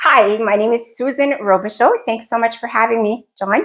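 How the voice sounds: With a New Brunswick accent, a woman speaks at a moderate pace in a fairly bright tone, her pitch fairly high with ordinary variation. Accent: French Canadian, New Brunswick.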